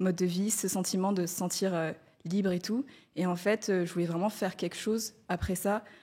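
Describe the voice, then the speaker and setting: A woman's somewhat breathy, medium-pitched voice at a fairly quick pace, with fairly even intonation. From Madagascar. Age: 20s. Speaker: freelance community manager. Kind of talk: testimony. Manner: hesitant, many fillers.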